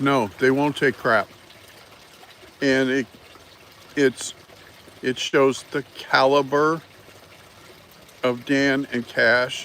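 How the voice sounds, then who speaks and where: A man's medium-pitched, flat, monotone voice at a very slow pace, with long, frequent pauses and noticeable background noise. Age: 60s. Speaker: political commentary livestreamer. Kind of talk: casual live stream commentary. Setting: live stream greeting chat viewers. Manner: halting, many fillers.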